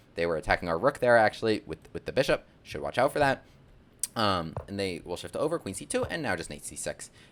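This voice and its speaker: A man's voice moves through very wide pitch swings. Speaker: chess content creator and gambit teacher. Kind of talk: chess tutorial. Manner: fast; animated.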